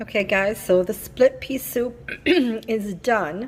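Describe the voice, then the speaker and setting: With noticeable background noise behind her, a woman speaks at a fairly high pitch. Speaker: lifestyle vlogger. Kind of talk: cooking vlog.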